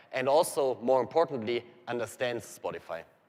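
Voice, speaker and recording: Fairly quick and fairly even in intonation, a man's voice carries the clip. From Germany. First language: German. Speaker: software engineer presenting to developers. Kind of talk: technical presentation. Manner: fast.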